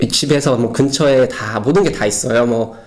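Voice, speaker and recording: There is noticeable background noise in this clip. Through it, a man's voice comes across. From South Korea. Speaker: Korean expat in Berlin. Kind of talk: casual personal talk to camera. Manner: hesitant, with many fillers.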